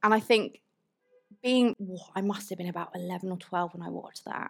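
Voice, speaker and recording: With a British accent, a woman speaks with ordinary pitch variation. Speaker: motorsport journalist. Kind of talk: live stage conversation with audience. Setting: stage with audience.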